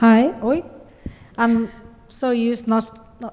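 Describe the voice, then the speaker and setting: A fairly high-pitched woman's voice with fairly even intonation. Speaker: rabbi. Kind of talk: panel discussion. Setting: conference panel with microphone.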